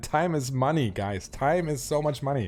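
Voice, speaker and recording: This man has a German accent. His pitch is medium, with ordinary variation. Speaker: Twitch streamer and game trading guide. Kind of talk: live stream Q&A. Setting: live stream answering chat. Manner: hesitant, many fillers.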